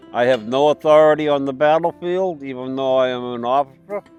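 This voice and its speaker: In a New England accent, a man speaks at medium pitch with ordinary pitch variation. Music plays in the background. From Massachusetts. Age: 70s. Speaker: Civil War reenactor, Vietnam veteran. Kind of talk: interview answer.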